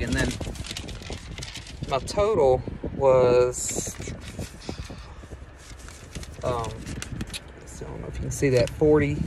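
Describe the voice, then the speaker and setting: Against noticeable background noise, a man speaks very slowly, the sound dry with no echo. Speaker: vlogger. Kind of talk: casual vlog chat. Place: car.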